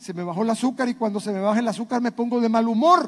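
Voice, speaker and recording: Talking at a very fast pace, a man uses an extremely high pitch with ordinary variation. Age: 60s. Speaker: pastor. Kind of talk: sermon.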